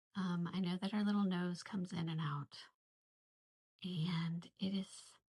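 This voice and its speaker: This woman's fairly low, somewhat breathy voice stays monotone and flat at a very even loudness. She speaks at a fairly slow pace. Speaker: art teacher leading a drawing session. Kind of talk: tutorial. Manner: casual, thinking aloud; whispering at moments.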